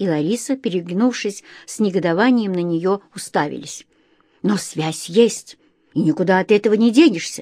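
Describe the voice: The clip is plain reading aloud.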